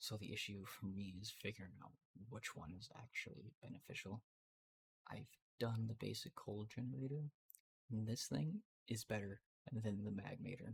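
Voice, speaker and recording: Whispering from a man, somewhat breathy, at a moderate pace, in a dry, close sound with no echo. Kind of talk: ASMR gameplay commentary. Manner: whispered; casual, hesitant.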